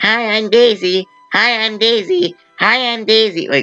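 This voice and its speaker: A female-sounding, put-on character voice speaks at a fairly slow pace and a fairly high pitch. Faint music plays in the background. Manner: mocking, annoying.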